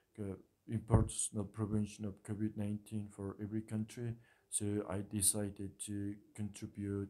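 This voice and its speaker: This man speaks at a moderate pace in a fairly low pitch. His tone is dark and mellow, with monotone, flat intonation. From Mongolia. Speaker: international student. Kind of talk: prepared speech. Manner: halting.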